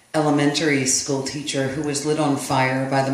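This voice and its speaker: A man talks at a moderate speed while noticeable background noise carries on. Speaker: poet. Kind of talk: spoken introduction to a live audience.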